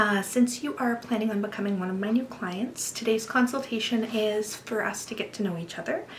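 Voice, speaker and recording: A soft-spoken woman talks at a fairly quick pace with hardly any pauses, against noticeable background noise. Her pitch is fairly high, with ordinary pitch variation. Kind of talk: ASMR roleplay nail consultation.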